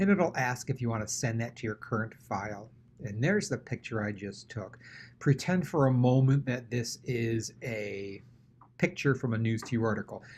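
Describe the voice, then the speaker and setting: A man with a somewhat breathy voice of medium pitch speaks at a moderate pace, with ordinary pitch variation. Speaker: tech tutorial host for teachers. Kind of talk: screen-recorded tutorial. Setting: at computer, screen recording. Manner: casual, conversational.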